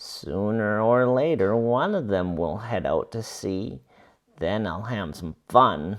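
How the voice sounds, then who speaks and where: A put-on character voice does the talking. Its pace is fairly slow. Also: man, fairly low pitch for a man. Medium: read story.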